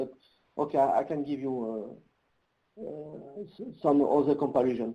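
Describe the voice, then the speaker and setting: A man with a French accent speaks at a moderate pace in a dark, mellow tone. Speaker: nuclear engineer presenting a webinar. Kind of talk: webinar Q&A. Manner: halting, many fillers.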